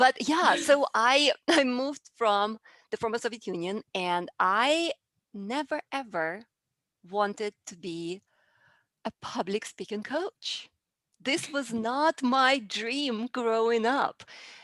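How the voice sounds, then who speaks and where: A woman with a Russian accent speaks at a very slow pace and a fairly high pitch. The sound is dry and close with no echo, on a very clean recording with a silent background. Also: lively intonation. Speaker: public speaking coach. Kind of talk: interview.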